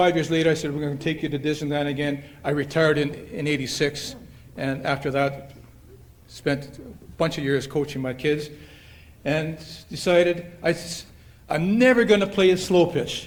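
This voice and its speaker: A man with a Canadian Prairie accent talks at a moderate pace and a fairly high pitch, his intonation fairly even, with audible room echo. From Canada, Manitoba (Winnipeg). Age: 70s. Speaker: retired softball player, hall of fame inductee. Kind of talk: acceptance speech. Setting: banquet hall with audience. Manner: halting, with many fillers.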